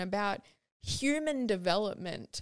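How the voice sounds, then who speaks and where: Over a very clean recording with a silent background, a woman with a normal speaking voice talks at medium pitch with lively intonation, the sound dry and close with no echo. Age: 20s. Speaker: podcast host, sustainable fashion advocate. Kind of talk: personal storytelling monologue.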